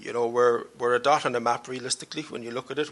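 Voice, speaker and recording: Someone talks at a very fast pace with a Cork accent. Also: man. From Ireland, Cork. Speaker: panelist, diaspora researcher. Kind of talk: panel discussion. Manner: hesitant, repeats words.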